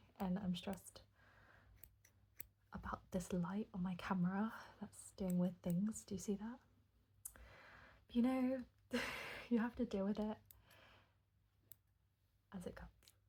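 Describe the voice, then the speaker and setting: Soft-spoken and somewhat breathy, a woman with a medium pitch and a dark, mellow tone speaks at a fairly slow pace, leaving long, frequent pauses. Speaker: ASMR creator. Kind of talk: ASMR soft-spoken rambling.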